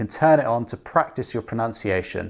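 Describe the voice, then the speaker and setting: A man's normal speaking voice, medium in pitch and at a fairly quick pace. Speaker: app co-founder demonstrating language app. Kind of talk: tutorial.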